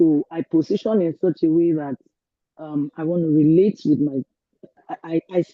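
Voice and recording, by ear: A woman talks at a low pitch and a moderate pace with ordinary pitch variation, in a dry, close sound with no echo.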